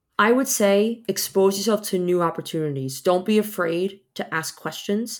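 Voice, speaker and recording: A woman with an American accent speaks at a moderate pace with hardly any pauses, medium pitch and ordinary pitch variation in an unremarkable speaking voice, on a very clean recording with a silent background. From New York. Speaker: visual effects artist. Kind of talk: interview.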